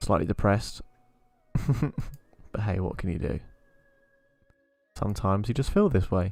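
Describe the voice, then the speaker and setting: A man's very deep, low voice with a British accent, at a fairly quick pace and fairly even intonation, with music in the background. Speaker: gaming streamer. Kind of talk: live game stream commentary. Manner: monotone.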